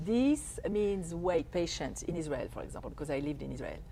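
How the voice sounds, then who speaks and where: A woman talks fairly quickly with a French accent, and audible room echo surrounds her. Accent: French accent, can't lose it. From France. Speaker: life coach. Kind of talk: interview, explaining.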